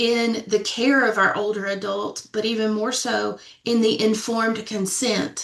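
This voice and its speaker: A woman's fairly high voice with a slight Southern US accent, flat monotone intonation, and a moderate pace. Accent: slight Southern twang. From Middle Tennessee, Sumner County. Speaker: death doula and funeral professional. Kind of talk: panel discussion.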